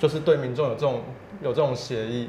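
Noticeable background noise sits behind a man's voice. He talks at a moderate pace with fairly even intonation. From Taiwan. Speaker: civil rights advocate; guest. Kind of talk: interview. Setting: office. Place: studio. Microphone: lapel.

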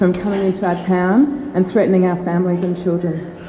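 Light background noise and audible room echo surround a woman's voice. She talks at a fairly quick pace with ordinary pitch variation. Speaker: community activist. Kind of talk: public meeting question. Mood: earnest, concerned. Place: hall.

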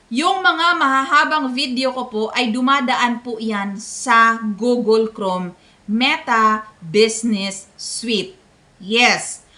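Fairly high in pitch, a woman speaks at a very slow pace with lively intonation. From Philippines, Visayas. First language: Bisaya (speaking Tagalog). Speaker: content creator. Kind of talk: tutorial. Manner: polite.

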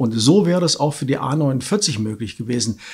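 Against a quiet background, a man talks at a moderate pace. His pitch is fairly high. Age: 60s. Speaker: local election candidate; election candidate. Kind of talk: candidate interview; interview answer. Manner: hesitant fillers. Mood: firm, slightly dismissive. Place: studio.

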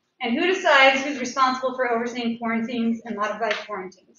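There is light background noise and audible room echo as a woman speaks at a fairly quick pace in a fairly high voice with fairly even intonation. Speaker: parent giving public comment. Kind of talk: public comment at school board meeting. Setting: public meeting. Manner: unsteady voice. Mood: frustrated but respectful. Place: hall.

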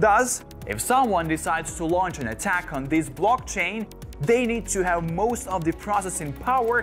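Over faint background music, a man speaks at a moderate pace in a high voice. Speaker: presenter. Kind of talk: tutorial. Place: studio. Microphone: lapel.

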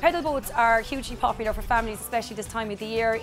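A woman speaks over clear music in the background. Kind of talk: interview answer. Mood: friendly promotional. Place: open country.

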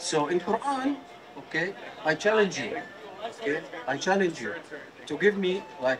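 Over noticeable background noise, a man speaks with an Arabic accent. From Jordan. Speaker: member of the public debating a street preacher. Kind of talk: heated debate. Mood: earnest, argumentative. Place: street. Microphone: handheld.

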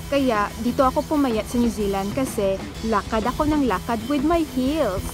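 Over clear music in the background, a woman speaks with ordinary pitch variation in a dry sound with no echo. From Philippines. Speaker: vlogger, comedian. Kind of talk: casual talk to camera, park tour vlog. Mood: cheerful, joking. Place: garden. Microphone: phone near.

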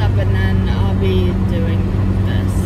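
A woman at a fairly slow pace over loud background noise. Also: dry sound with no echo. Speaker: vlogger. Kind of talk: casual vlog chat. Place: car.

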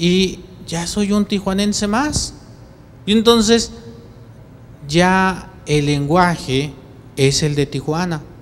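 Over light background noise, a man with a high pitch and ordinary pitch variation speaks at a very slow pace with long, frequent pauses. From Mexico City. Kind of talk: homily. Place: church. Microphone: handheld.

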